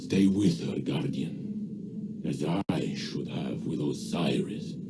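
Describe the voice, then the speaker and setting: Over clear background noise, a man performs a put-on character voice at a very slow pace. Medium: video game. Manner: halting, formal phrasing.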